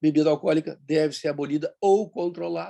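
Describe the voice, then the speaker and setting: In a dry, close sound with no echo, a man's fairly high voice carries a dark, mellow tone. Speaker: bariatric surgeon. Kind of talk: online meeting talk. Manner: fast.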